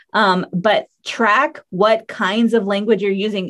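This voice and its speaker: This woman has an unremarkable speaking voice at medium pitch, with ordinary pitch variation. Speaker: copy editor and writer. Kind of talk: casual interview chat.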